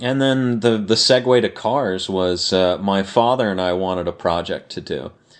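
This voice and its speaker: With an American accent, a man of fairly low pitch talks at a moderate pace with ordinary pitch variation and hardly any pauses. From Los Angeles, California. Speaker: prop maker and car restorer. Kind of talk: casual interview chat.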